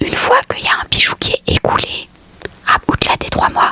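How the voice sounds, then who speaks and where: A woman whispers at a moderate pace, her voice dry and close with no echo, over noticeable background noise. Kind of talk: vlog monologue. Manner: whispering ASMR.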